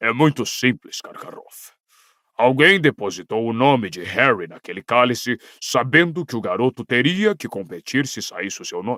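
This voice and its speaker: Using a put-on character voice, a man growls in a gruff, medium-pitched tone at a moderate pace, with big swings in loudness and very wide pitch swings, the sound dry and close with no echo. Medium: read story. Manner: gruff, blunt.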